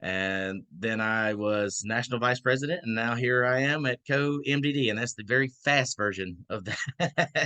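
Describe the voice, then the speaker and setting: Dry and close with no echo, a man in a Southern accent speaks at a moderate pace with a bright, sharp tone and ordinary pitch variation. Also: medium pitch for a man. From Georgia, US South. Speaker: membership co-director of a nonprofit. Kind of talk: online orientation talk. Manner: casual, hesitant fillers.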